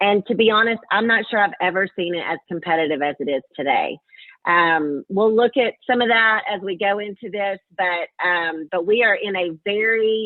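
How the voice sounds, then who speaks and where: Speech in a Southern US accent at a moderate pace, with ordinary pitch variation. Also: woman. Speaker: marketing executive, webinar presenter. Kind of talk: webinar presentation. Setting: webinar call.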